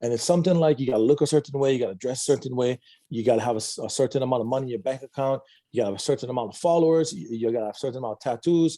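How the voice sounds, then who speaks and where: A man speaks at a medium pitch in a dark, mellow tone, with ordinary pitch variation. The recording is very clean, dry and close, with no echo and a silent background. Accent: Hawaiian. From Hawaii, Big Island (Waimea). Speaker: addiction recovery counselor. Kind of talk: interview testimony.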